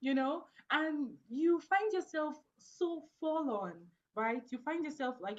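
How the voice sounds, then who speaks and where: A woman speaks with an African accent. Her intonation is lively. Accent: African accent, noticeable in the US. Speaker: networking event host. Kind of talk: video call panel discussion. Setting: Zoom video call. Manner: casual, filler-heavy (like, you know).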